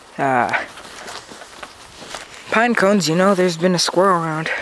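The sound is dry with no echo, and background noise is noticeable. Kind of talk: casual commentary. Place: forest. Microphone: phone near.

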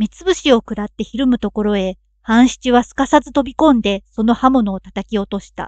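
In an ordinary speaking voice, a woman talks at a moderate pace with fairly high pitch and ordinary pitch variation. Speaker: narrator. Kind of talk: audiobook reading of a classic story. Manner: calm, sleep-inducing.

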